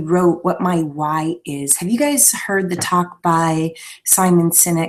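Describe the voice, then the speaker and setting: Soft-spoken, a woman talks at a very slow pace. Her pitch is fairly low, with ordinary variation. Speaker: inspirational speaker and fitness leadership trainer. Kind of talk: live webinar talk. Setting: live online video broadcast.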